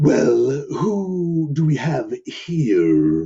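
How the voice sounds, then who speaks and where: A man's rumbling, put-on character voice. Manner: menacing, hungry.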